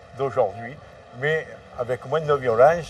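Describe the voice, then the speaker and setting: This man has a fairly high pitch. His pitch varies an ordinary amount. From Marseille, France. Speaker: former drug trafficker. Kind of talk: interview testimony. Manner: halting.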